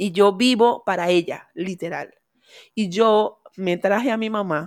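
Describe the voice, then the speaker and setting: The recording is very clean and the background silent. A woman talks with ordinary pitch variation. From Venezuela. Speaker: immigrant entrepreneur. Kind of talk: casual chat. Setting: studio.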